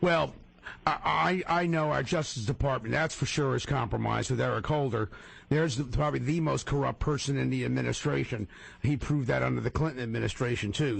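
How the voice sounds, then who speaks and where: A man talks at a very fast pace with vocal fry. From northern New Jersey, Paterson area. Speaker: radio talk show host. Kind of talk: radio interview.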